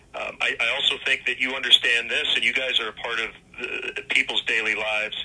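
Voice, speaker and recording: With noticeable background noise in the mix, a man moves through his words fairly quickly. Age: 50s. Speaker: baseball play-by-play announcer. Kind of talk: radio interview.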